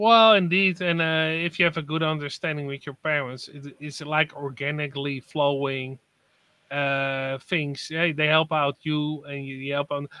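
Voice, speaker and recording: A man's fairly high voice at a moderate pace, bright and sharp in tone, with a dry, close sound and no echo. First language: not English. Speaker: livestream guest. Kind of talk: casual chat. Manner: halting.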